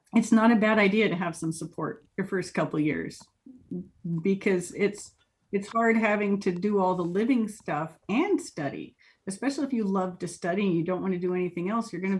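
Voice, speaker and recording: A woman speaks with an American accent at a medium pitch, her voice somewhat breathy. Her pace is moderate and her pitch varies in an ordinary way. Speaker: interviewee, college-educated professional. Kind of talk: interview. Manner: casual, chatty with fillers.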